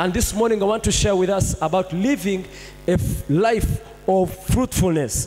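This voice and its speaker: A man talks at a moderate speed while music plays behind him. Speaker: pastor. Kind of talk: sermon. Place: church. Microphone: handheld.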